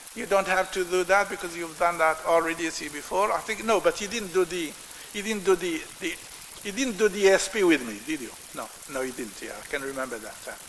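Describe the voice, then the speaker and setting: Over noticeable background noise, a high-pitched man speaks at a fairly quick pace. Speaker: professor. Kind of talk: lecture. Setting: lecture hall with audience. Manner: loud; halting.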